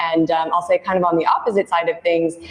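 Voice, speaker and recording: Noticeable background noise accompanies a woman speaking with an American accent and ordinary pitch variation. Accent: American accent, noticeable in Australia. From United States. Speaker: recruitment consultant. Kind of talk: live webinar Q&A, professional chat.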